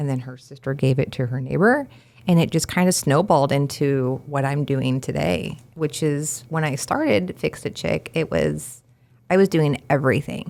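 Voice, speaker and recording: Vocal fry runs through this voice, which moves at a moderate pace with ordinary pitch variation. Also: woman, very deep, low pitch for a woman. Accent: American. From Kansas, Wichita area. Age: 40s. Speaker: handywoman business owner. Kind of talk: podcast interview.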